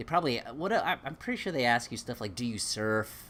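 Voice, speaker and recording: There is vocal fry in this man's voice as he talks at a moderate pace with an American accent. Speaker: YouTuber. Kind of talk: live stream chat. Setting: garage.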